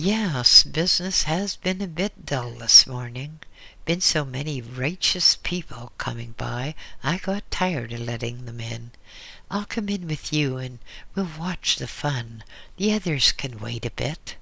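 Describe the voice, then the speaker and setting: A put-on character voice from a man, fairly high in pitch, at a fairly slow pace. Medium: read story. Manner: folksy, teasing.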